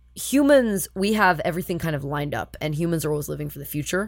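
A woman talks with a fairly low pitch, lively intonation and vocal fry. Her loudness swings widely. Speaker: puppy play community organizer. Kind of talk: casual chat.

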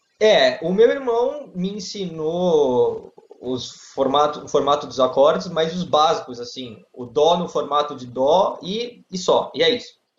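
Here a man speaks at a fairly slow pace in a high pitch, with very wide pitch swings and big swings in loudness. Room echo is audible. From Brazil, Santos (São Paulo coast). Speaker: lawyer and guitar student. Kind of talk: interview.

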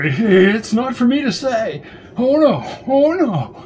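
A man performs a put-on character voice at an extremely high pitch, with big pitch swings and a slightly mellow tone. He goes at a slow pace over faint background noise.

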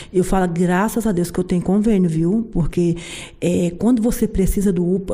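Speaking with ordinary pitch variation at a moderate pace, a woman has a plain, everyday voice. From rural Brazilian interior. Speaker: working-class city resident. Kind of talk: interview.

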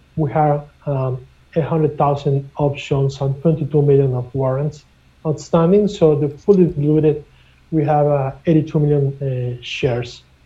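At a fairly slow pace, a man with a Spanish accent and a fairly high pitch sounds somewhat breathy, his intonation fairly even. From Mexico. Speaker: mining company executive. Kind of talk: interview. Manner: halting, many repeated words.

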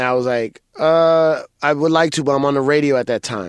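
At a fairly quick pace, a man with a fairly high voice speaks with ordinary pitch variation in a dry, close sound that has no echo. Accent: New York. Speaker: DJ and comedian. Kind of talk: casual chat.

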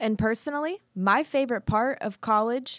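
A woman talks at a moderate pace in an unremarkable speaking voice, her intonation lively. The sound is dry and close with no echo, on a very clean recording with a silent background. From rural Kansas. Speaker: student podcast host. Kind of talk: scripted monologue.

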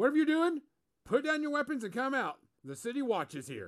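On a very clean recording with a silent background, a man uses a put-on character voice at an extremely high pitch and a fairly quick pace. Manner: commanding.

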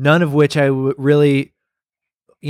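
A normal speaking voice with fairly even intonation comes through in a dry, close sound with no echo on a very clean recording with a silent background. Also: man. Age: 20s. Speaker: podcast host. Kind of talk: casual interview. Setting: guest's backyard.

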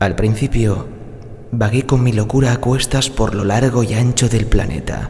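A man uses a theatrical tone and lively intonation over noticeable background noise. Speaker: voice actor. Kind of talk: dramatic character narration, voice-over demo. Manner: theatrical, intimate and coaxing, like a sly seductive character.

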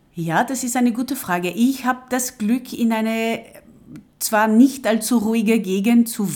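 Fairly slow-paced woman with a French accent and ordinary pitch variation. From coastal France. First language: French (speaking German). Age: 50s. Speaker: translator and project coordinator. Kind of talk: interview. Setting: at home. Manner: hesitant, many fillers and repetitions.

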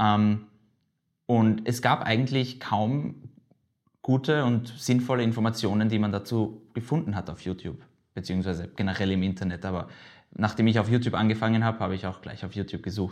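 Using an ordinary speaking voice, a man talks at a fairly quick pace with a fairly low pitch and ordinary pitch variation. The background is quiet. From Austria, Vienna. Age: 20s. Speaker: aviation video blogger and student. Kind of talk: casual interview. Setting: studio / office table.

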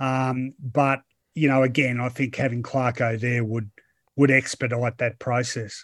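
With an Australian accent, a man talks at a fairly slow pace. His medium-pitched voice stays monotone and flat. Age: 50s. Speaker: football journalist. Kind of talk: casual chat.

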